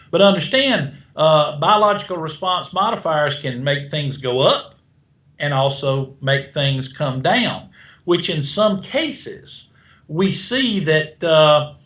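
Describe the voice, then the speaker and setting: A man with a South Carolina accent speaks at a very slow pace. His pitch is fairly high, with ordinary variation. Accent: South Carolina twang. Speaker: beta glucan expert, supplement manufacturer. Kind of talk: interview answer.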